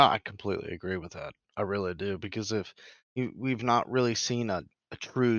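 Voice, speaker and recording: At a moderate pace and medium pitch, a man speaks in a normal speaking voice with ordinary pitch variation. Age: 30s. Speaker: racing podcast co-host. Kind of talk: casual chat.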